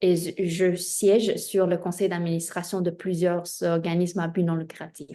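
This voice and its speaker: Against a quiet background, a woman with a Spanish accent speaks slowly at a fairly low pitch in a dark, mellow tone with monotone, flat intonation. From Spain, of Chinese descent. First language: Spanish (speaking French). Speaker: diversity consultant, entrepreneur. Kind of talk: interview self-introduction. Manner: hesitant, many filler 'euh'.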